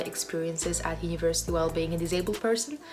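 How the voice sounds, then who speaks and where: Very fast and fairly low-pitched, a woman with a Polish accent speaks with fairly even intonation amid audible room echo. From Poland. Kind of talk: casual vlog talk to camera.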